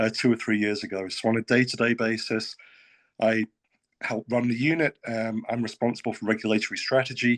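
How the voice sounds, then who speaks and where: A man with a British accent talks at a fairly quick pace in a medium pitch, his intonation monotone and flat. The sound is dry and close with no echo, and the background is quiet. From UK. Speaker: state financial regulator. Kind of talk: panel discussion.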